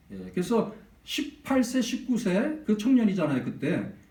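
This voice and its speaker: Room echo is audible in this clip. A man speaks in it at a moderate pace. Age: under 65. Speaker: pastor. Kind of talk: sermon. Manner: animated.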